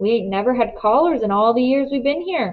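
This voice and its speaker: A woman's put-on character voice, high in pitch, with lively intonation. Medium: read story.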